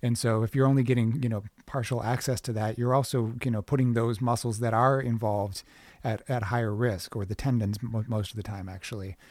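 A man in an American accent talks fairly quickly at a medium pitch with fairly even intonation and an unremarkable speaking voice, on a very clean recording with a silent background. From US Midwest, Minneapolis. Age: 40s. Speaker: podcast host, bodyworker. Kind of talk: casual interview chat; scripted intro.

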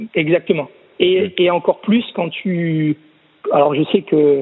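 Ordinary pitch variation shapes a man's high-pitched voice. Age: 30s. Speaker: swimming coach. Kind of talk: casual interview. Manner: halting, many repetitions.

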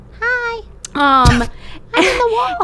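A put-on character voice pitched extremely high, swinging very widely in pitch over clear background noise.

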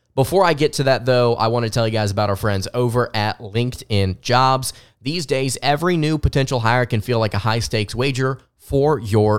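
Moderate pace from a man with a Southern US accent, medium pitch and ordinary pitch variation, very clean recording with a silent background. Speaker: sports podcast host and writer. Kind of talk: solo sports podcast commentary.

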